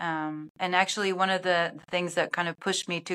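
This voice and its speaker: A woman with a German accent, fairly low in pitch, at a moderate pace with fairly even intonation. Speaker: film and sports broadcast producer. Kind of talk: casual interview chat. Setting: video call. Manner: hesitant, with repeated words and fillers.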